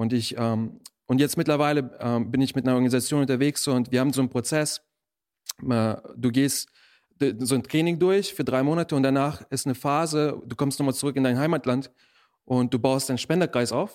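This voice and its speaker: On a very clean recording with a silent background, a man with a normal speaking voice talks at a fairly quick pace, with medium pitch and ordinary pitch variation. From Germany, born in Russia. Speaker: missionary. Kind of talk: interview testimony.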